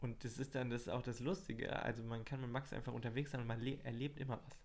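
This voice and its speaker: Delivered at a fairly quick pace, the voice has vocal fry and fairly even intonation. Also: man. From Hesse, Germany (Marburg). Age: 20s. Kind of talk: casual chat. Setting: small home desk studio.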